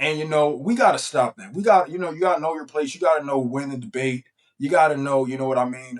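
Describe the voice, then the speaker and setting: Very fast speech comes from a man with a fairly high pitch. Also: ordinary pitch variation, big swings in loudness. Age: 20s. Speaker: YouTuber. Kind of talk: casual vlog commentary. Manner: casual, halting with fillers.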